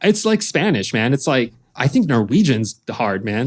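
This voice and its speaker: At a fairly slow pace, a man with a medium pitch lets his voice make very wide pitch swings. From Lithuania, raised in US from age 8. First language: Lithuanian. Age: 30s. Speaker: professional drift driver. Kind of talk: casual chat.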